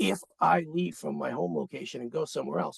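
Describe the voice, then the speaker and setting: Recorded with a dry, close sound and no echo, a man speaks at a medium pitch with vocal fry. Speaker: emergency preparedness official. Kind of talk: webinar presentation. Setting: conference call.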